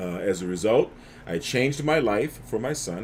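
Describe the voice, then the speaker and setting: An American accent, lively intonation and vocal fry mark a man speaking at a fairly low pitch and moderate pace. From US South, New Orleans. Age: 60s. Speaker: neurofeedback practitioner. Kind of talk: casual livestream talk. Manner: halting, many fillers.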